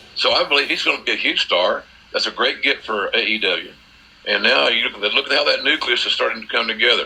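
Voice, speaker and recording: A man's very fast speech in an American accent, with noticeable background noise. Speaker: wrestling commentator. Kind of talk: interview answer.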